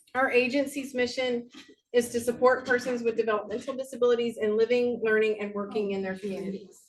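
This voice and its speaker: The speaker is a woman with a fairly high pitch. She keeps a moderate pace and fairly even intonation. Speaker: state agency liaison. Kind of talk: presentation.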